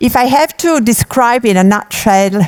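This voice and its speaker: Speaking fairly slowly with lively intonation, a woman with an Italian accent is heard in a dry, close sound with no echo. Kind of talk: conference talk.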